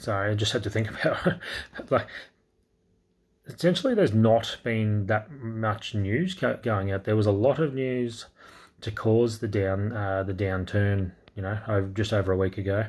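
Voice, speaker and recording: Quiet and somewhat breathy, a man with an Australian accent speaks at a moderate pace in a fairly low pitch with ordinary pitch variation. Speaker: crypto YouTuber. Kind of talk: casual market update vlog; casual vlog chat. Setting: indoors at night, kids asleep. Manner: quiet, talking low; hesitant, many fillers. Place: home room. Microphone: phone near.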